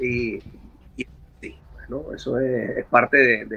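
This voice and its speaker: A man speaks with a Caracas accent, and noticeable background noise sits behind him. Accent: Venezuelan Spanish (Caracas). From Venezuela, Caracas. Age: 50s. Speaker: rock singer. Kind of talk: casual interview. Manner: halting, many repetitions.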